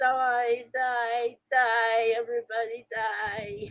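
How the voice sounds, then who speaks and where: A woman's put-on character voice, fairly high and monotone with flat intonation, at a very slow pace. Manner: menacing, robotic.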